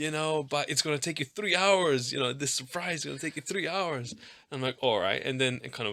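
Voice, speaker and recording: With a non-native accent, a man talks at a fairly quick pace in a fairly high, bright and sharp voice, his intonation lively. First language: not English. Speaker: pastor. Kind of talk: casual chat. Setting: studio.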